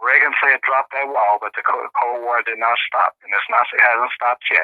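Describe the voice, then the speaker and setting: Medium in pitch, a man talks with fairly even intonation. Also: moderate pace. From US Midwest, Kansas City, Missouri. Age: 60s. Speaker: Cold War veterans advocate. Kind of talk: interview.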